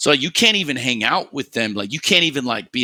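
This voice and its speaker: A bright, sharp tone with a New York accent and lively intonation, dry and close with no echo. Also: man. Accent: New York American English. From US Northeast, New York City. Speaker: esports podcast host, Valorant coach. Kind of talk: casual chat. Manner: fast, animated.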